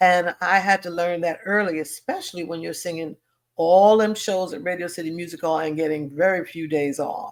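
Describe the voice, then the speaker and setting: A woman with an American accent speaks at a moderate pace in a plain, everyday voice. Her pitch is fairly low and her intonation fairly even. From Harlem, New York. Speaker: singer, stage actress. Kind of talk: interview answer.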